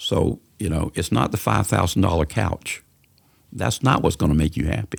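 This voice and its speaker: A man with a coastal Georgia accent talks at a fairly quick pace, his voice showing vocal fry. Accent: Southern US (coastal Georgia). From US South, Savannah, Georgia. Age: 70s. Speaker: community organizer. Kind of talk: podcast interview.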